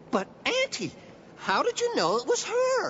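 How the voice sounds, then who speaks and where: Over clear background noise, a cartoonish character voice speaks at a moderate pace. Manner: eager, friendly.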